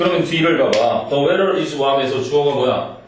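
Amid light background noise and audible room echo, a man with a fairly high pitch speaks at a fairly slow pace. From South Korea. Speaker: English teacher; teacher. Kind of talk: classroom lecture. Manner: casual, interactive with students. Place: classroom. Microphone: camera far.

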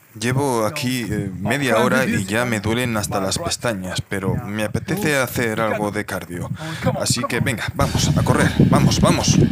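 Loud background noise surrounds a man whose pitch varies in an ordinary way. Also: moderate pace. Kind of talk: casual vlog chat. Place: open country. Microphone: phone near.

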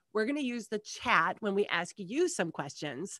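A woman speaks with very wide pitch swings. The sound is dry with no echo, over a quiet background. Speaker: webinar host. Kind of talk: webinar housekeeping announcements. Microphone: headset.

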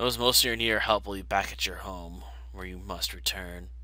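A man puts on a character voice at a moderate pace, with big swings in loudness. Background noise is noticeable. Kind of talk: prophetic, solemn. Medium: game stream. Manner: grave, ominous.

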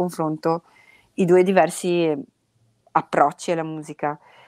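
A woman speaks with a Venetian accent and fairly even intonation. The sound is dry and close with no echo, on a very clean recording with a silent background. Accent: Venetian accent, noticeable. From Veneto, Italy (industrial area, Pasubio). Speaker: blues musician, one-woman band. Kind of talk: podcast interview. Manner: casual, with hesitations.

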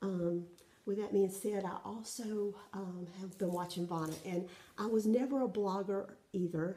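A woman with a Southern US accent talks at a fairly slow pace, her intonation fairly even. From South Carolina, US South. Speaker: cross-stitch vlogger. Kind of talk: casual show-and-tell vlog. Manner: hesitant, many fillers. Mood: friendly, relaxed. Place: home room. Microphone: phone near.

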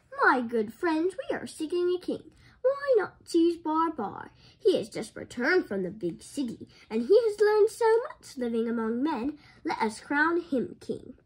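A woman puts on a character voice at an extremely high pitch. It is shaky, with very wide pitch swings. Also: moderate pace. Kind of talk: formal, wise.

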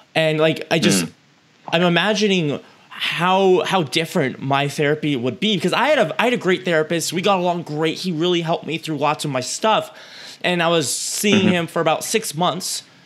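An energetic, high-pitched man at a fairly quick pace with ordinary pitch variation over noticeable background noise. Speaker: podcast host. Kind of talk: interview.

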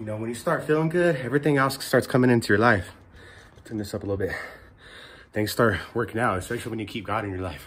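Over light background noise, a man talks at a very fast pace with lively intonation. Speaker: fitness vlogger. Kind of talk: casual vlog chat. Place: garden. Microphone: lapel.

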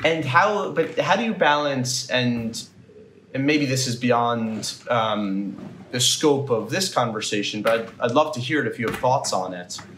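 With lively intonation and a fairly slow pace, a man speaks in a room with audible echo and light background noise. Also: medium pitch for a man. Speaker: podcast interviewer. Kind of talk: interview questions. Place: home room. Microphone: earbuds.

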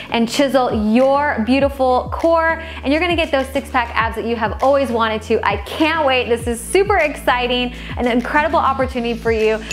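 A woman talks at a fairly quick pace in a high pitch with ordinary pitch variation, faint music playing in the background. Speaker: fitness instructor. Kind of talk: casual vlog chat. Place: home room. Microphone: lapel.

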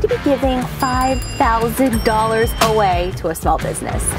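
The speech comes at a moderate pace. The sound is dry with no echo, and clear music plays in the background. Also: woman. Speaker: food vlogger. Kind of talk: sponsor read to camera.

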